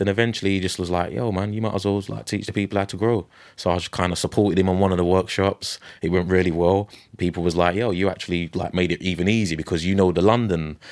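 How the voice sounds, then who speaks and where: At a very fast pace, a man talks in a very deep, low pitch with fairly even intonation. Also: very clean recording, silent background. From UK. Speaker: mycologist and permaculture teacher. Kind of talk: casual interview conversation.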